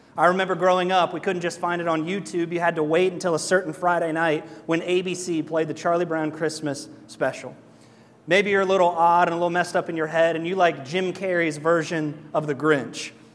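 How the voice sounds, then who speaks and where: A man speaks at a fairly quick pace with a high pitch. His delivery is monotone and flat, and the room echo is audible. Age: 30s. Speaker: pastor. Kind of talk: sermon. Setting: church. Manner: casual and joking.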